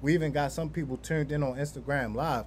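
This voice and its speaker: Talking at a fairly quick pace, a man has a fairly high voice. It sounds somewhat breathy. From Baltimore, US. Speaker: podcast host. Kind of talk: casual interview. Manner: animated.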